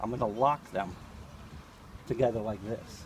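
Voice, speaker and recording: A man speaks at a fairly slow pace. The sound is dry with no echo, and there is light background noise. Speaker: travel vlogger. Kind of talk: casual interview questions, then magic patter. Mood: playful, friendly. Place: open country. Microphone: phone near.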